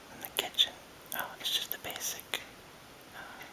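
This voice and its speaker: Whispering at a moderate pace in a relaxed tone, the speaker comes through over noticeable background noise. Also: man. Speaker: video blogger. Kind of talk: casual talk to camera. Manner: whispered, relaxed, free-form.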